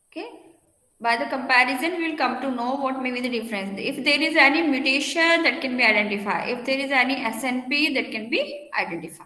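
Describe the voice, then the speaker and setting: In a room with audible echo, a woman with a high pitch speaks at a very fast pace in a raised, projected voice. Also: ordinary pitch variation. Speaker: university lecturer. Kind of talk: lecture.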